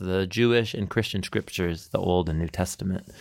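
On a very clean recording with a silent background, a man with an American accent speaks with ordinary pitch variation. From US Pacific Northwest (Portland, Oregon). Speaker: podcast host and biblical studies professor. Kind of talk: podcast self-introduction monologue. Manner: casual with fillers and repetitions.

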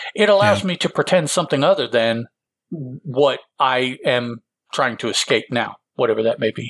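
A man with a plain, everyday voice talks at a moderate pace and a medium pitch. His intonation is lively, and the sound is dry and close with no echo. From Illinois, US Midwest. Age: 50s. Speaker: podcast co-host. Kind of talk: casual chat.

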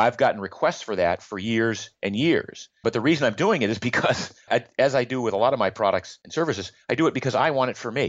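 A man's plain, everyday voice at medium pitch, fairly quick, with ordinary pitch variation. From Maine, US. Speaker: health blogger and entrepreneur. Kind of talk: interview.

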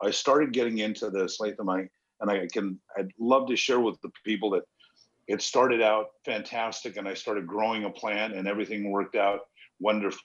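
A man with an American accent and a fairly low pitch uses a normal speaking voice, recorded with a dry, close sound with no echo. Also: fairly even intonation, fairly quick pace. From Los Angeles. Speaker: cannabis company founder, former actor. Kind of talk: casual interview.

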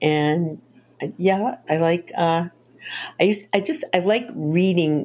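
With a Boston accent, a woman talks at a very slow pace, her fairly low voice carrying lively intonation. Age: 70s. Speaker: novelist. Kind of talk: interview. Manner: animated.

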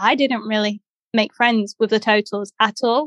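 A woman with an English accent talks at a moderate pace, her pitch fairly high. The sound is dry and close, with no echo. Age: 30s. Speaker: blind athlete and blogger, former documentary participant. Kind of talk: casual chat.

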